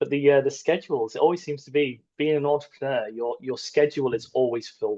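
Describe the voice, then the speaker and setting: With an English accent, a man talks at a fairly quick pace with hardly any pauses, his fairly high voice dark and mellow in tone and his intonation fairly even. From northern England, Middlesbrough. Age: 40s. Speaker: army veteran and entrepreneur. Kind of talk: podcast interview. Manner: hesitant, filler-heavy.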